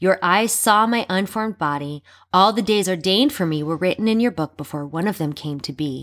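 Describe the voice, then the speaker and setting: An unremarkable speaking voice: a woman at medium pitch, with lively intonation and a fairly quick pace. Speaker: podcast host.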